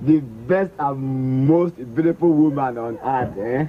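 A man talking at a very slow pace. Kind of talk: acted drama dialogue. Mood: playful, affectionate teasing. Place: open country. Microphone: old recording.

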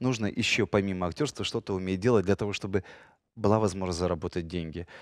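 Against a quiet background, a man speaks in an animated tone at a very fast pace, with a dry sound and no echo. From Ukraine, Kyiv. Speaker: radio host and actor; radio host, actor. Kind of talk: casual chat. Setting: studio. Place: studio. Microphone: headset.

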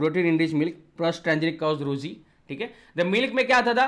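A man's voice with ordinary pitch variation in a quiet background. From India. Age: 20s. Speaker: online biology teacher. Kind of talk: lecture. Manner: animated.

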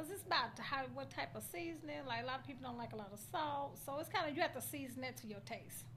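An American woman with an American accent talks at a very fast pace with hardly any pauses over light background noise. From US South. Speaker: cook-off contestant; interviewee. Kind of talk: interview. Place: meeting room. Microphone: handheld.

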